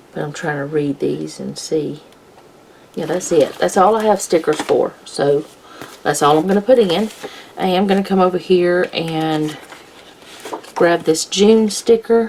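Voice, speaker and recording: A woman talks at a fairly slow pace with long, frequent pauses. Her pitch is fairly low, and there is noticeable background noise. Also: ordinary pitch variation. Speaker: planner vlogger, homemaker. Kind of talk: casual plan-with-me tutorial. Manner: quiet; relaxed, thinking aloud.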